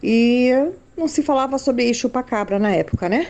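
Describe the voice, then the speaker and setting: A high-pitched woman's voice with a dark, mellow tone, ordinary pitch variation and a moderate pace. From São Paulo, Brazil. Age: 60s. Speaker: listener sending a voice message. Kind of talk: recorded voice message testimony.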